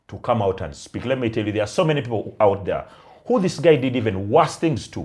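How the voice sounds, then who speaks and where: A man with a non-native accent, medium pitch, very wide pitch swings, big swings in loudness and vocal fry, at a fairly quick pace in a very clean recording with a silent background. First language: not Luganda. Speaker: podcast co-host. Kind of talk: casual chat.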